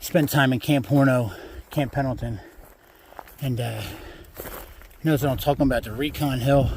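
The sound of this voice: A man speaks at medium pitch and a moderate pace, with ordinary pitch variation. His tone is slightly mellow with a slightly husky edge.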